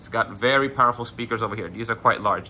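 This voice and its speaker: A man's bright, sharp tone against light background noise. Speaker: product reviewer. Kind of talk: tutorial. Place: home room.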